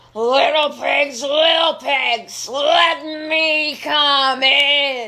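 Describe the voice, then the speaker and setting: The speaker uses a put-on character voice with a high pitch. Delivery comes at a very slow pace. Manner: growling.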